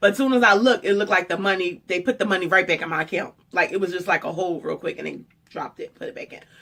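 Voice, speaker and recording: A woman's animated voice at medium pitch, very fast, with ordinary pitch variation and big swings in loudness. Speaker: vlogger and fashion stylist. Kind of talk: storytime vlog.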